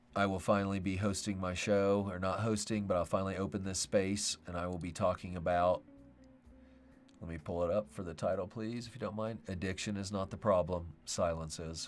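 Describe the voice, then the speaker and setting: Music plays in the background as a man with an American accent speaks at a fairly quick pace. His pitch is fairly low and his intonation fairly even. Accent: American twang. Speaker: podcast host. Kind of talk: livestream talk to viewers.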